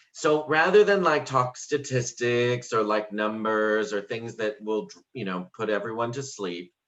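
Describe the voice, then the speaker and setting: A man with an American accent speaks at a medium pitch and a fairly slow pace, his intonation lively and hardly any pauses breaking an ordinary speaking voice. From North Carolina. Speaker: sociology professor. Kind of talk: conference talk. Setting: video call.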